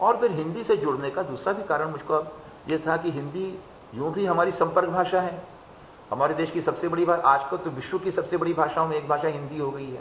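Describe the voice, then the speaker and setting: This man's voice sits high in pitch. The way it moves up and down is ordinary. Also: moderate pace. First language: Bengali (speaking Hindi). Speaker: writer and poet. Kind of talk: interview.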